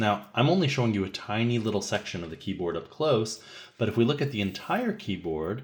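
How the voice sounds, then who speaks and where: The speaker talks at a fairly quick pace, somewhat breathy, with very wide pitch swings. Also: man. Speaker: music teacher. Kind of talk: tutorial.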